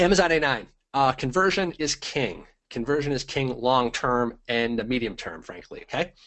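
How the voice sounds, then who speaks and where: With lively intonation, a man speaks at a medium pitch and a moderate pace. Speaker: online business trainer. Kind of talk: webinar presentation. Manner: animated.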